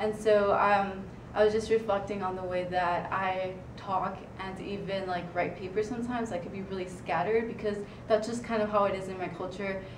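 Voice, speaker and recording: A woman with a Spanish accent speaks at a fairly quick pace and medium pitch, in a monotone, flat intonation. Audible room echo and noticeable background noise are present. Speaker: student writing consultant. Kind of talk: presentation. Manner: halting, many fillers.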